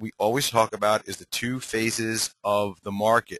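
A man's bright, sharp voice at a medium pitch, dry and close with no echo. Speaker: trading educator, webinar host. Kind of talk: webinar presentation. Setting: online webinar. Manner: halting, many fillers.

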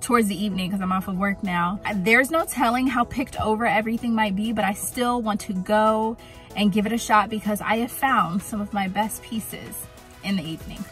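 A woman speaks with ordinary pitch variation, the sound dry with no echo and faint music in the background. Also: fairly quick pace. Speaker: thrift vlogger. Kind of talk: casual vlog chat. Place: car. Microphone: phone near.

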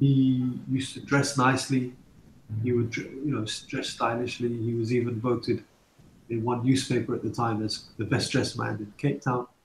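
A man speaks at a moderate pace in a medium pitch, with monotone, flat intonation. His voice is somewhat breathy. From London. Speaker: filmmaker. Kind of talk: interview. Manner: hesitant, many fillers.

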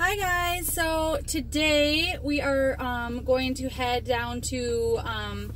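A woman's voice comes through with a dry, echo-free sound and light background noise. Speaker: parent vlogger. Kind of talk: casual vlog chat. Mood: cheerful, excited. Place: car. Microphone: phone near.

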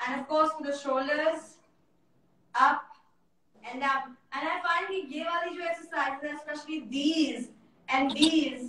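A woman talks at a moderate pace with a high-pitched voice. Room echo is audible. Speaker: guest. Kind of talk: casual live-stream chat. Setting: video call. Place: home room.

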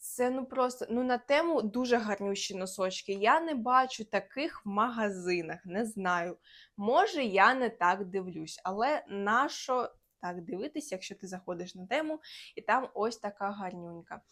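In a Russian accent, a woman with a fairly high voice talks with lively intonation and big swings in loudness, on a very clean recording with a silent background. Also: fairly slow pace. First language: Russian (speaking Ukrainian). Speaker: lifestyle vlogger. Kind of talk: casual haul vlog.

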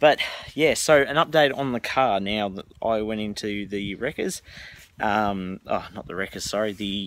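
A man's fairly low voice with ordinary pitch variation and a fairly slow pace, dry with no echo. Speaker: car vlogger. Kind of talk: casual vlog chat. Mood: frustrated but joking. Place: garden. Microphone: phone near.

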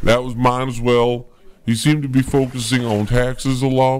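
Noticeable background noise sits behind a man's voice. He talks at medium pitch and a moderate pace. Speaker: comedian. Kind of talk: mock field reporting.

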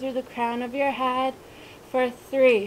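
A woman is speaking. Light background noise can be heard. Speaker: fitness instructor. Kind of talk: workout instruction with counting. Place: garden.

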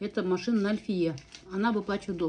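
Light background noise sits behind a woman whose pitch variation is ordinary. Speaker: food vlogger. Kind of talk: casual mukbang chat. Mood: chatty, animated storytelling. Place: home room. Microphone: phone near.

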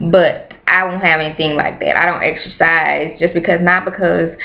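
Faint music in the background accompanies a woman who speaks at a moderate pace. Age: 20s. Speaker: beauty and hair vlogger; hair vlogger. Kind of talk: casual vlog monologue. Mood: mildly exasperated, candid. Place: home room. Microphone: webcam.

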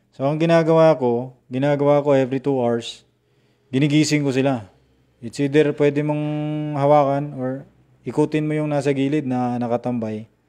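A man's fairly high voice with a dark, mellow tone, monotone, flat intonation and a moderate pace against a quiet background. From Visayas/Mindanao, Philippines. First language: Cebuano (Bisaya) (speaking Tagalog). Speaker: poultry farmer and vlogger. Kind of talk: live stream tutorial. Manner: halting, many fillers. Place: home room. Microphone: earbuds.

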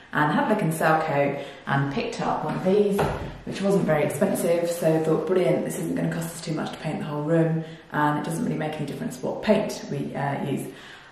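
A woman's voice, with ordinary pitch variation, rings with strong room echo. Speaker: DIY home renovation vlogger. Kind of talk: casual talk to camera. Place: empty room. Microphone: camera far.

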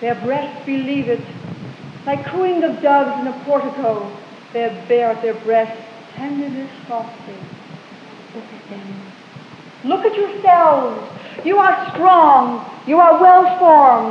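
A woman with a high pitch and lively intonation speaks at a very slow pace with long, frequent pauses and big swings in loudness, amid light background noise and audible room echo. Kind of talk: poetry reading. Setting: live stage performance. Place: hall. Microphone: old recording.

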